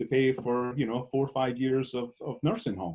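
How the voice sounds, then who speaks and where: This man's voice has a dark, mellow tone and sits at a fairly high pitch. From Scotland. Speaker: estate planning attorney. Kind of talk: webinar Q&A. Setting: video call.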